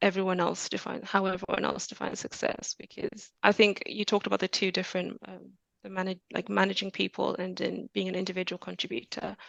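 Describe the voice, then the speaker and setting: A soft-spoken woman talks at a moderate pace in a calm tone. The sound is dry and close, with no echo. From Zambia. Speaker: software engineer. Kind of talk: podcast interview.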